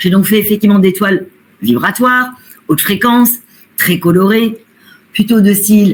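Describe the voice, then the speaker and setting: Her pitch is medium, and it varies in an ordinary way. This woman keeps to a moderate pace. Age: 60s. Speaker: medium and painter. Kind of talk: interview.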